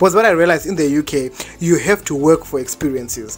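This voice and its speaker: A man's fairly high voice with ordinary pitch variation over noticeable background noise. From Zimbabwe. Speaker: vlogger, university student. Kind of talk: storytime vlog. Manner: fast; casual, slangy.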